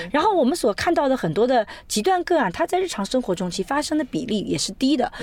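A high-pitched woman, animated in tone, at a very fast pace with very wide pitch swings. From China, Suzhou. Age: 40s. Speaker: sociology professor. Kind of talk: interview conversation. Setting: in a car.

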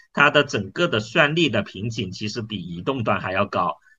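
A man is talking at a moderate pace. His voice sits at a medium pitch. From China, Dongguan (Pearl River Delta). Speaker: startup founder and CEO. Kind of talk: interview. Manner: hesitant, filler-heavy.

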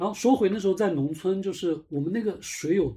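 Man with a dark, mellow tone, ordinary pitch variation and a moderate pace over a quiet background. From Jiangnan small town, Zhejiang. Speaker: podcast host. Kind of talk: casual chat.

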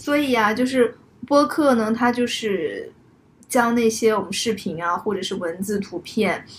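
A woman with an ordinary speaking voice talks at a moderate pace, fairly high in pitch with ordinary pitch variation. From Zhuhai, southern China. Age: late 20s. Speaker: podcast co-host. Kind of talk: casual chat. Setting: living room at home.

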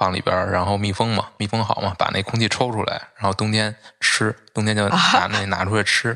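A man's fairly low voice with a monotone, flat intonation. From Beijing. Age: 30s. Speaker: book editor. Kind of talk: casual chat.

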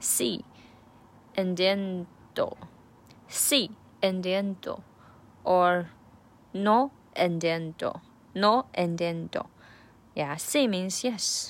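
Very slow and marked by long, frequent pauses, a woman's medium-pitched voice carries a Chinese accent and ordinary pitch variation. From China. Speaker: language learner vlogger. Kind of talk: study diary. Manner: halting.

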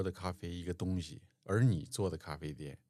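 The recording is very clean, with a silent background. A man talks at a moderate pace in a very deep, low voice. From Changbai Mountains, Northeast China. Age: 50s. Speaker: podcast host. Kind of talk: casual chat.

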